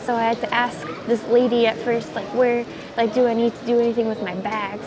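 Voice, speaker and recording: At a fairly quick pace, a woman with a fairly high pitch talks amid noticeable background noise and audible room echo. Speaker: vlogger. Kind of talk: casual vlog monologue. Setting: airport. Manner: fast.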